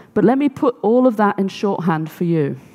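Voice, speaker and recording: The speaker is a woman. Little can be heard behind her, with the background quiet. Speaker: conference speaker. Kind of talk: talk to audience. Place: stage. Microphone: headset.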